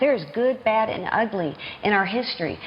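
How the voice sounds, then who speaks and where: Against noticeable background noise, a woman with a Southern US accent speaks at a fairly high pitch. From US South, Norfolk, Virginia. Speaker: children's author. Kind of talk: TV news interview.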